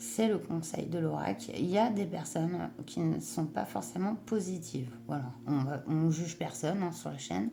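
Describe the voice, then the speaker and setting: A woman's very deep, low voice, dark and mellow with vocal fry, swings very widely in pitch with hardly any pauses. Audible room echo surrounds it. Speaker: tarot reader. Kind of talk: tarot reading. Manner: hesitant, many fillers.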